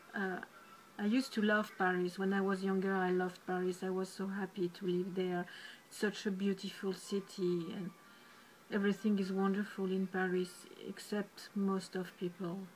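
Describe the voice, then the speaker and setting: Speaking at a moderate pace in a French accent, a woman sounds somewhat breathy, her intonation monotone and flat. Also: medium pitch for a woman. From France. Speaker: painter and video blogger. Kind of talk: personal monologue vlog. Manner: halting, with many fillers.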